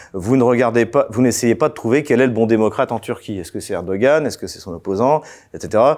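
A man with a medium pitch talks at a fairly quick pace, with ordinary pitch variation. His loudness swings widely against a quiet background. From France, Champagne; France. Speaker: political analyst; guest. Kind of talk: interview. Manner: hesitant, many fillers. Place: studio. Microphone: lapel.

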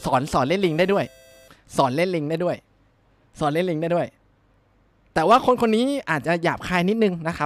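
A man is heard in a dry sound with no echo, with faint music in the background. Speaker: game streamer. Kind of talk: casual live stream chat. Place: home room. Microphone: studio mic.

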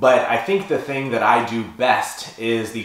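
Moderate pace from a male speaker, audible room echo around him. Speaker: powerlifting coach. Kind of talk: casual vlog chat. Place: home room.

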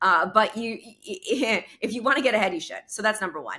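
Against a quiet background, a woman with an American accent has a bright, sharp tone. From New York. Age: 30s. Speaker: entrepreneur and speaker; speaker. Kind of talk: interview. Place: home room. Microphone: studio mic.

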